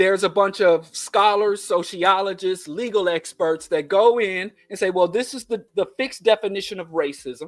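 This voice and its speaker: With a Kansas City accent, a man talks in an animated tone at a moderate pace. His pitch is high, with ordinary variation. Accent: Kansas City twang. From US Midwest, Kansas City. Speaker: podcast host. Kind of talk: political commentary monologue; casual chat.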